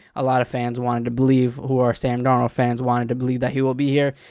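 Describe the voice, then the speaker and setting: Mumbling in a monotone, flat way, a man of medium pitch is heard in a dry, close sound with no echo, in a very clean recording with a silent background. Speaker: sports fan video host. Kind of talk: casual commentary monologue. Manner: halting, many fillers.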